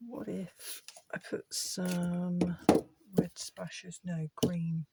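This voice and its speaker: A soft-spoken woman whispering, with a dry, close sound and no echo. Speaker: art channel creator. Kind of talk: casual art tutorial vlog. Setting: home art shed. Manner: soft-spoken, near whisper; halting, thinking aloud.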